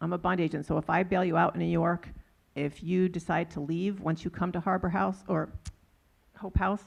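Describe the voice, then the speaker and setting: The voice carries vocal fry. Its intonation is monotone and flat. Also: woman, fairly low pitch for a woman. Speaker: criminal justice nonprofit leader, panelist. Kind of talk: panel discussion. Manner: fast; hesitant, many fillers.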